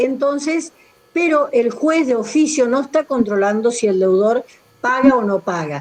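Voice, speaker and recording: A woman talks with lively intonation at a high pitch. Noticeable background noise sits behind her. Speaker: law professor. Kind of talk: online lecture.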